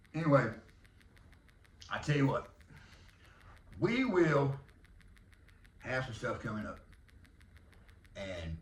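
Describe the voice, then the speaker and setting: Fairly slow, somewhat breathy speech with a Southern US accent, very wide pitch swings and audible room echo. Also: man. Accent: Southern country drawl. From Texas. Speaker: podcast host and arena football team owner. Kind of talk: casual monologue.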